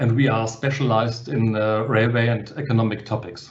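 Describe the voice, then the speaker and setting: With a German accent, a man speaks at a medium pitch in a somewhat breathy voice with ordinary pitch variation, and audible room echo surrounds him. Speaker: publisher. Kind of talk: webinar panel talk. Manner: halting.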